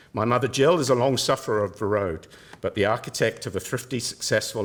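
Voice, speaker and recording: A man rattles along at a very fast pace, his pitch shifting in an ordinary way. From Cook Islands and Taranaki, New Zealand. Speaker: professor. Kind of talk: lecture. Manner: formal.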